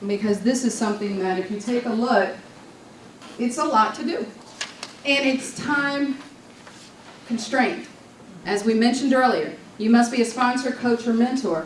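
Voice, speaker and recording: A woman with an American accent speaks at a moderate pace, her high pitch showing ordinary pitch variation, and long, frequent pauses. Noticeable background noise and audible room echo come through. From New York. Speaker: Toastmasters district leader and speaker. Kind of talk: conference talk. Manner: animated.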